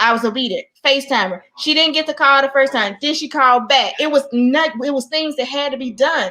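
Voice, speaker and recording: In a raised, projected voice, a woman speaks at a fairly quick pace with a high pitch and ordinary pitch variation. Her tone is animated. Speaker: talk show co-host, motivational speaker. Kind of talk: casual chat. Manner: fast.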